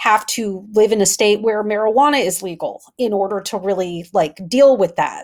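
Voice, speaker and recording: Here is a woman with an American accent, a normal speaking voice, and a medium pitch. She moves at a moderate pace with ordinary pitch variation, on a very clean recording with a silent background. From US Midwest, Wisconsin. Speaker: communications consultant. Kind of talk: interview.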